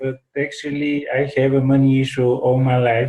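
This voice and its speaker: A man with a non-native accent at a moderate pace, medium in pitch, with monotone, flat intonation. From Bulgaria. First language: Bulgarian. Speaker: workshop participant. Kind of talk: group chat. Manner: halting.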